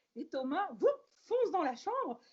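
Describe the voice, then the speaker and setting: A woman speaks with a dark, mellow tone. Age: 60s. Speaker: podcast guest, host's mother. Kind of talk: casual chat.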